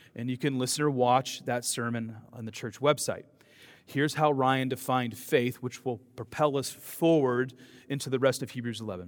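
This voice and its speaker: A man's normal speaking voice at a medium pitch, a moderate pace and fairly even intonation. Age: 40s. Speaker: pastor. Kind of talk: sermon.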